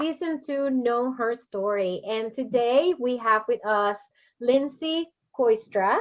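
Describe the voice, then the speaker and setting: Against a quiet background, a woman talks at a fairly slow pace, her high pitch showing ordinary pitch variation. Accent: Spanish. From Puerto Rico. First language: Spanish. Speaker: podcast host. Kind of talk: interview.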